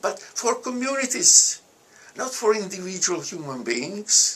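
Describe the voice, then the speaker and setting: A man speaks in a high pitch with an Italian accent and very wide pitch swings. Noticeable background noise sits behind him. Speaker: alumnus and economist. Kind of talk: interview. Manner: halting.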